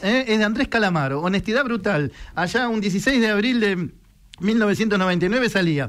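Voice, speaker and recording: A high-pitched man at a fairly slow pace on a very clean recording with a silent background. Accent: Rioplatense. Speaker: radio host. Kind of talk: casual chat.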